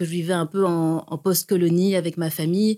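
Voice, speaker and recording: A woman speaks fairly slowly in a normal speaking voice at a medium pitch, the sound dry and close with no echo on a very clean recording with a silent background. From Burundi, then Belgium from age ten. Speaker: visual artist. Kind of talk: interview.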